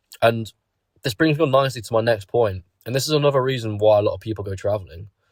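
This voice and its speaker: Somewhat breathy and at a medium pitch, a man with a British accent talks very fast with ordinary pitch variation on a very clean recording with a silent background. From Britain. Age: 20s. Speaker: YouTuber. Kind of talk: casual monologue.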